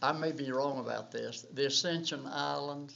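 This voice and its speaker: A man with a north Georgia accent at medium pitch and a very slow pace. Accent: Southern US, north Georgia. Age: 80s+. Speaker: war veteran. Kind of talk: oral history interview. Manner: halting.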